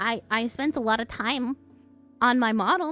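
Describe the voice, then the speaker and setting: Over music in the background, a woman with a high pitch speaks at a fairly slow pace with lively intonation. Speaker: streamer with an animated avatar. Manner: hesitant, repeats words.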